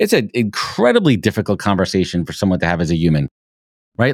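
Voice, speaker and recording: Very fast and animated, a man with a fairly low pitch and lively intonation speaks in a dry, close sound with no echo on a very clean recording with a silent background. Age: 40s. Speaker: recruiter. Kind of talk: interview.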